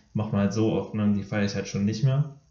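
Talking at a very fast pace, a man with a fairly low pitch keeps his intonation fairly even, and room echo is audible. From Germany, Dortmund. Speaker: middle-distance runner, podcast co-host. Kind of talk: casual chat.

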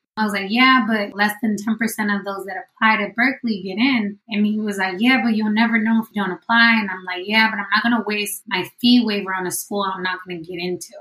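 A woman with an American accent and a normal speaking voice, medium in pitch, at a fairly quick pace with fairly even intonation. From San Diego–Tijuana border, California. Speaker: PhD student and mother. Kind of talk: interview.

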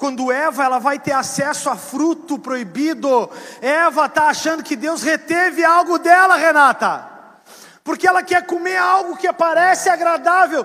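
Amid noticeable background noise, a man with an extremely high voice speaks in an animated tone, raised and projected, with ordinary pitch variation. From southern Brazil. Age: 40s. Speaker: pastor. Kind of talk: sermon.

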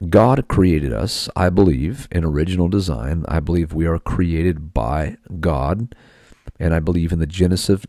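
A man's very deep, low voice with a dark, mellow tone, at a moderate pace with ordinary pitch variation, dry and close with no echo, on a very clean recording with a silent background. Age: 40s. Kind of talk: podcast monologue.

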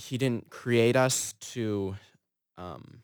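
In a very clean recording with a silent background, a man with an Upper Midwest accent speaks at a fairly low pitch with ordinary pitch variation. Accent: Upper Midwest American. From Minnesota (Fergus Falls). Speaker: theology student. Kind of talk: casual chat.

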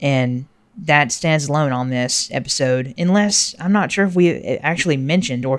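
At a moderate pace, a man with a fairly high pitch and an unremarkable speaking voice talks with lively intonation. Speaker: podcast host. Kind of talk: casual podcast chat about drummers and music. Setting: home recording with TV noise from neighbor downstairs.

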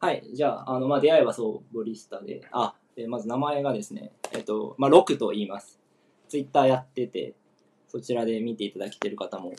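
A man's plain, everyday voice at medium pitch, fairly quick in pace, with lively intonation and big swings in loudness. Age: 20s. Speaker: football talk show co-host. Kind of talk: casual chat.

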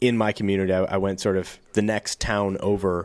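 A man with a Midwestern American accent, fairly low in pitch, at a moderate pace, on a very clean recording with a silent background. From US Midwest, St. Louis County, Missouri. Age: 30s. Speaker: podcast host, YouTube creator. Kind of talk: casual chat.

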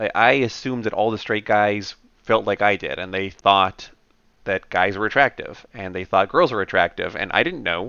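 Fairly low in pitch, a man speaks in an unremarkable speaking voice. His pitch variation is ordinary. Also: moderate pace. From Canada. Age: 30s. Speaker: software automation lead. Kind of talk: casual interview conversation.

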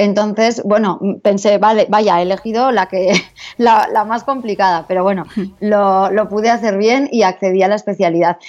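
Moderate pace and fairly even intonation in a woman's ordinary speaking voice, pitched in the middle. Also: very even loudness. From Basque Country, Spain (San Sebastián). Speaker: dermatologist. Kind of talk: interview.

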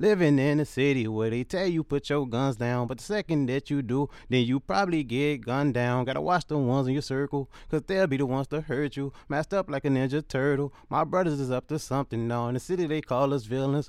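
In an unremarkable speaking voice, the words come at a fairly quick pace with hardly any pauses. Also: man, fairly high pitch for a man, ordinary pitch variation. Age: 20s. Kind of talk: spoken word poetry, hard-hitting with repeated hook. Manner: intense, rhythmic, pained, street-inflected flow.

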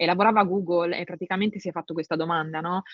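Medium pitch from a female speaker, intonation fairly even. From northern Italy, Milan province. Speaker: translator and tech industry manager. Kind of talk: casual interview conversation. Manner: halting, many repetitions and fillers.

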